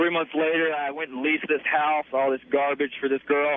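A man with a Southern US accent, fairly quick and flat in a monotone. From US South. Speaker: caller. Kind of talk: radio call-in conversation. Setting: phone call. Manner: casual.

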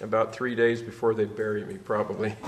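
Noticeable background noise sits under the recording. Over it, a man with a medium-pitched voice talks at a moderate speed. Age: 60s. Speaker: public commenter at board meeting. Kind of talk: public comment. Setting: public board meeting.

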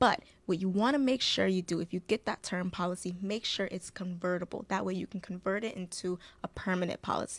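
Pitch varies in an ordinary way while the words come at a fairly quick pace. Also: woman. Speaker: insurance agent and co-host. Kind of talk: casual educational chat. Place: studio. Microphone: studio mic.

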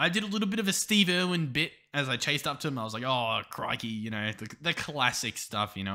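With an Australian accent, a man talks at a fairly quick pace in a bright, sharp tone with vocal fry and very wide pitch swings. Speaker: gaming YouTuber. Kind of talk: gameplay commentary. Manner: casual, hesitant with fillers.

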